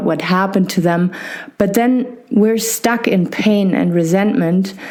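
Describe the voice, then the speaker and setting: Noticeable background noise and audible room echo surround a woman at a medium pitch. She talks at a fairly slow pace with ordinary pitch variation. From Germany. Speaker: podcast host and physiotherapist. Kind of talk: interview. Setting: podcast interview.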